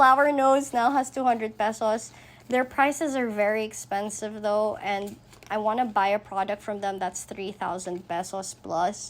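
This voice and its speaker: With ordinary pitch variation, the speech unfolds at a fairly slow pace. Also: woman. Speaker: budgeting vlogger. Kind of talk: casual vlog talk to camera. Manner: deliberately calmer, less loud than usual; gets loud when excited.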